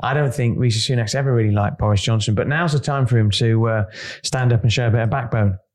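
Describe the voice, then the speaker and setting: A somewhat breathy man at a medium pitch, very fast, with very even loudness and fairly even intonation. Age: 50s. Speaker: podcast co-host, business editor. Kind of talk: casual chat.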